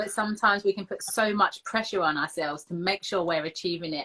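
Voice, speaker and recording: Her tone is bright and sharp, at a medium pitch for a woman, with an English accent. She talks at a very fast pace. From England. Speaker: footballer and host. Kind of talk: casual interview. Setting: live video stream.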